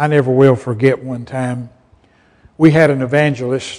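With a Southern US accent, a man speaks at a medium pitch in a dark, mellow tone, keeping his intonation fairly even. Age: 70s. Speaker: pastor. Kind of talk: sermon.

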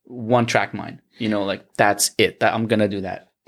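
A man talks at a moderate pace with fairly even intonation. He has an ordinary speaking voice, medium in pitch. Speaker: musician. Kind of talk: casual chat.

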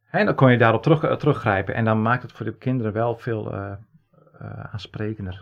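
The voice carries vocal fry and ordinary pitch variation at a fairly quick pace. Loudness swings widely, with long, frequent pauses. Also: man, medium pitch for a man. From Netherlands, Friesland. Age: 40s. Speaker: podcast co-host, genealogist. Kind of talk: casual chat.

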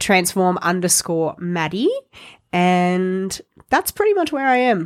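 A woman's medium-pitched voice in an Australian accent, very slow with lively intonation and very even loudness, in a dry, close sound with no echo. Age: 20s. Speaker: fitness coach. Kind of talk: casual chat. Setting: studio.

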